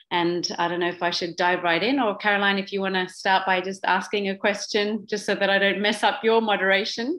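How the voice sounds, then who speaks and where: A woman with a slight Australian accent speaks at a medium pitch with fairly even intonation, in a very clean recording with a silent background. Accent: slight Australian twang. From Papua New Guinea, Swiss family. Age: 40s. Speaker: social entrepreneur. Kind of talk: talk.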